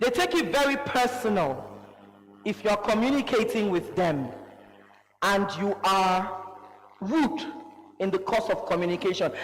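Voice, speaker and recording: Speech at a fairly slow pace, broken by long, frequent pauses, sits over noticeable background noise. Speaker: conference speaker. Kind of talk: leadership talk. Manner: loud; animated.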